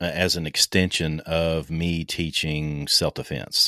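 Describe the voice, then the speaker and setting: A man's very deep, low voice with a dry, close sound and no echo. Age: 50s. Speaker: survival instructor and author. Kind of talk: casual interview.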